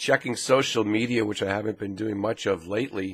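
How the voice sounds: A man puts on a raspy character voice with a fairly low pitch. He moves at a fairly quick pace with fairly even intonation.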